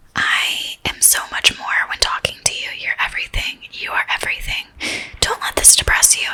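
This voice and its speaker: A woman whispers at a fairly quick pace over noticeable background noise. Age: 20s. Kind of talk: whispered blog reading. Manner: whispered.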